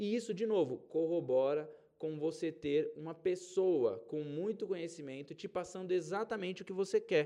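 Speaking at a moderate pace with hardly any pauses, a man with a high pitch and ordinary pitch variation has a dark, mellow tone. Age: 30s. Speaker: podcast host and investment advisor. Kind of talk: solo podcast monologue. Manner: casual and conversational.

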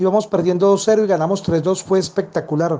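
Talking at a very fast pace, a man with a high pitch and a dark, mellow tone keeps a fairly even intonation. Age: 40s. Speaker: football fan. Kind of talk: vox-pop testimony.

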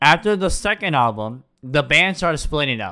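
On a very clean recording with a silent background, a man talks at a moderate pace with a fairly high pitch and a bright, sharp tone. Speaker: podcast host. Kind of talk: casual banter, silly podcast chat.

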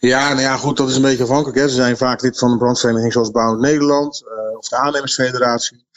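The speech runs at a very fast pace with monotone, flat intonation, and noticeable background noise is present. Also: man, medium pitch for a man. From Netherlands, Rotterdam area (Vlaardingen). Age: 50s. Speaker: market researcher. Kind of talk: interview.

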